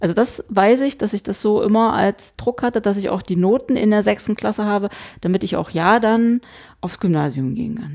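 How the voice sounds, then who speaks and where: Speaking at a moderate pace and medium pitch, a woman with an ordinary speaking voice shows ordinary pitch variation. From Saxony-Anhalt, eastern Germany (Hettstedt). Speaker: podcast co-host. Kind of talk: casual chat.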